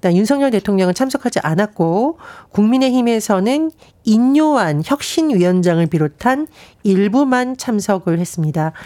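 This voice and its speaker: Her dark, mellow voice sits fairly high for a woman and moves in very wide pitch swings at a moderate pace, with very even loudness and a dry, close sound with no echo. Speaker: political commentator. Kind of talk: news briefing. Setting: studio.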